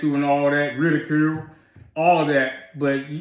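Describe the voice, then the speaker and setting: The intonation stays fairly even. Room echo can be heard. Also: man. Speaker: military veteran. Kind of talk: casual chat. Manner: sounds combative to others.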